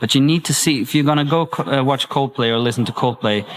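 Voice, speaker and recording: Noticeable background noise sits behind the recording. A man speaks with ordinary pitch variation. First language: Swedish. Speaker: singer. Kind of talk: interview. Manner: halting.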